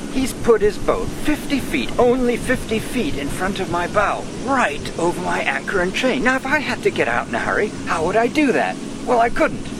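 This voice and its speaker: Over noticeable background noise and audible room echo, a man talks in a high voice at a moderate pace with lively intonation. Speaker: solo sailor vlogger. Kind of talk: casual video diary. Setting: outdoors on a sailboat at anchor. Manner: quiet.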